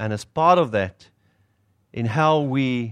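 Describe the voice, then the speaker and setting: With a South African accent, a man speaks at a medium pitch with ordinary pitch variation, in a dry, close sound with no echo over a quiet background. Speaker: pastor. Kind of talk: sermon. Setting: stage with audience.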